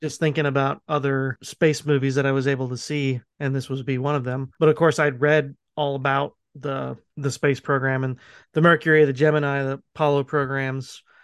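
A man's fairly high, monotone voice with flat intonation, in a dry, close sound with no echo over a quiet background. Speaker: podcast co-host. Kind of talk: casual chat.

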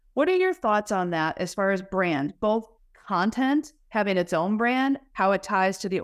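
Recorded very cleanly against a silent background, a woman with an American accent talks at a moderate pace and medium pitch in an ordinary speaking voice. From Wisconsin, US Midwest. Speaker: podcast host, marketing executive. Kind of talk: podcast interview.

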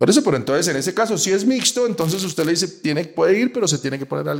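A man's voice with very wide pitch swings. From Colombia. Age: 50s. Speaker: sports journalist. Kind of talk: casual interview. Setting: in person in Bogotá.

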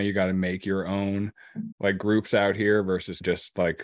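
Against a quiet background, a man with a very deep, low pitch speaks at a moderate pace in a dry, close sound with no echo. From Oregon coast, US. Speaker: cannabis grower. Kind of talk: casual chat.

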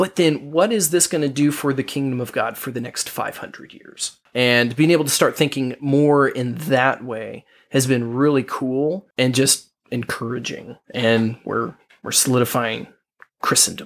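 A man speaks at a fairly slow pace at a medium pitch, with ordinary pitch variation, in a plain, everyday voice. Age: 20s. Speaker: podcast co-host and parent. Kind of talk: casual chat.

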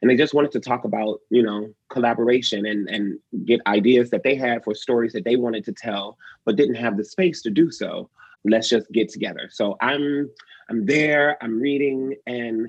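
A man with an American accent speaks at a moderate pace. He has an ordinary speaking voice with ordinary pitch variation. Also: medium pitch for a man. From Detroit, Michigan. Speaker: actor, dancer and choreographer. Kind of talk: interview conversation.

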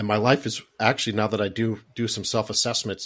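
The man uses a plain, everyday voice, fairly low in pitch and fairly quick in pace. The recording is very clean with a silent background. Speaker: podcast host and heart attack survivor. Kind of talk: interview, personal story.

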